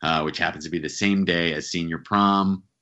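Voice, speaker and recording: Background music under a man's fairly quick speech. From central New Jersey. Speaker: author and actor. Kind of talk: casual interview.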